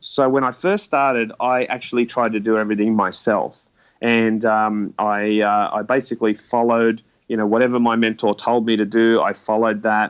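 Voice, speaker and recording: Over a quiet background, a man with an Australian accent talks at a moderate pace and medium pitch, his loudness very even. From Australia, Sydney. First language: not English. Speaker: online business coach. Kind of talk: podcast interview. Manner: animated.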